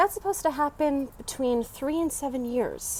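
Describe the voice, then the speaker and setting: A woman with an American accent talks at a moderate pace in a high pitch. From Baltimore, US. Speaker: vlogger. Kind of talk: live stream monologue. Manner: quiet, hushed.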